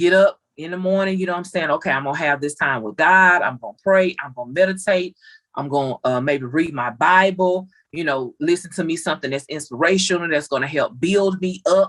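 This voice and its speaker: In an ordinary speaking voice, a woman talks at a fairly quick pace, her fairly low pitch showing ordinary variation amid big swings in loudness. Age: 30s. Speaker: family member guest. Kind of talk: casual chat.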